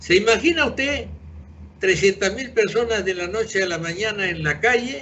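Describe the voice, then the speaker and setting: High-pitched male speech, its pitch variation ordinary. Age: 80s+. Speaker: retired engineer, pensioners' association president. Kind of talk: interview. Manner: halting, with repetitions.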